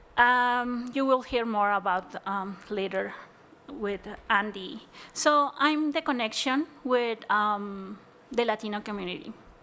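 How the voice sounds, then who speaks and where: A woman with a Mexican accent speaks at a fairly slow pace, her fairly high-pitched voice bright and sharp in tone. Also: ordinary pitch variation. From Chihuahua, Mexico. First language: Spanish. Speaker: community housing organizer. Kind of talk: panel presentation. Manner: halting.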